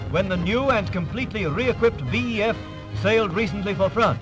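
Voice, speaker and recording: Music plays behind a man talking at a fairly quick pace with a British accent. His pitch swings very widely. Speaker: newsreel narrator. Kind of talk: wartime newsreel narration. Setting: vintage newsreel audio. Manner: brisk, urgent, authoritative.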